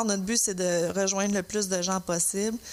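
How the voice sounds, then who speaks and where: Here a woman speaks with a Quebec accent. Her pitch is medium and her pace moderate. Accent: Québécois French. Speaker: podcast co-host. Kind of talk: casual chat. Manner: frequent hesitations and fillers.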